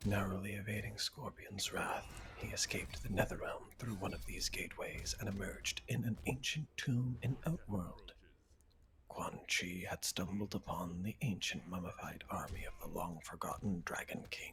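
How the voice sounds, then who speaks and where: Whispering at a moderate pace, a man speaks in a calm tone. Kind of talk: reading game character biographies aloud. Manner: soft-spoken, calm.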